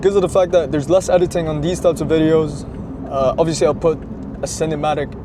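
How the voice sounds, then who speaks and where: Man's voice, fairly high-pitched, with noticeable background noise. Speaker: car vlogger. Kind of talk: casual vlog monologue. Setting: in a car. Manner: quiet, kept down.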